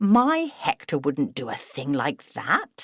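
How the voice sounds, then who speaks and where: A female-sounding voice growls in a put-on character voice at a medium pitch and fairly slow pace, with very wide pitch swings. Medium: read story. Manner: warm, genteel.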